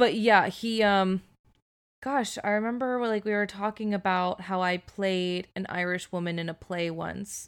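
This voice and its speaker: On a very clean recording with a silent background, a woman has an ordinary speaking voice, a medium pitch and fairly even intonation. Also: fairly slow pace. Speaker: podcast co-host. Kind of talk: casual chat. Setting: home recording with AirPods.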